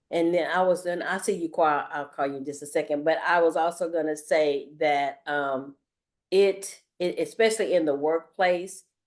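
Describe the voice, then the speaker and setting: An unremarkable speaking voice moves at a moderate pace with fairly even intonation. The background is quiet. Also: woman, fairly low pitch for a woman. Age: 60s. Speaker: career services staff. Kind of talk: workshop discussion.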